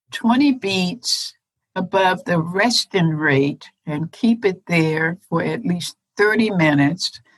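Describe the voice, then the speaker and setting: Recorded with a dry, close sound and no echo, a woman with a fairly low pitch and vocal fry speaks at a very slow pace using lively intonation. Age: 70s. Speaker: retired doctor and runner. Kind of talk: interview.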